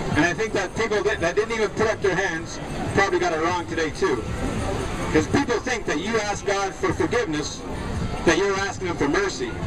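Loud background noise sits under a man talking at a fairly quick pace. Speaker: street preacher. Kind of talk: open-air sermon. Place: beach.

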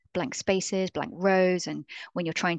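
A woman speaks at a moderate pace in an ordinary speaking voice, with a fairly low pitch and fairly even intonation. The sound is dry with no echo, and the background is quiet. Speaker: presenter. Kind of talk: lecture. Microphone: webcam.

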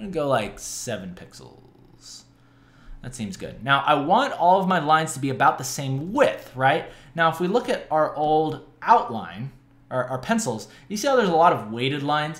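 A man's fairly high voice with vocal fry, very wide pitch swings and a moderate pace. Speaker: digital art tutorial host. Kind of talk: tutorial. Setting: home studio, screen recording. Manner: animated, casual, joking. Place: home room.

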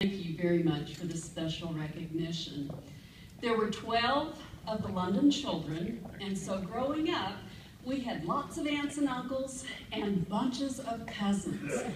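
The speech moves at a very slow pace. Noticeable background noise and audible room echo fill the recording. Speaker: award acceptance speaker. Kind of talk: acceptance speech. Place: hall.

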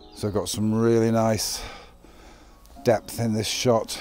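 Dry sound with no echo, plus faint music in the background. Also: man. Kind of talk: tutorial commentary. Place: forest.

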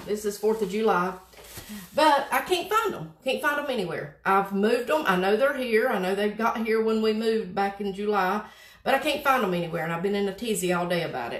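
Audible room echo surrounds a woman talking at a fairly quick pace. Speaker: craft host. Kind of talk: tutorial. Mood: chatty, slightly flustered. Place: home room. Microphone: phone near.

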